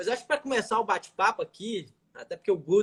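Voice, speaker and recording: A man with a Minas Gerais accent at a fairly quick pace, lively intonation and a dry, close sound with no echo. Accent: mineiro (Minas Gerais). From Minas Gerais, Brazil. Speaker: criminal lawyer. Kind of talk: live stream interview.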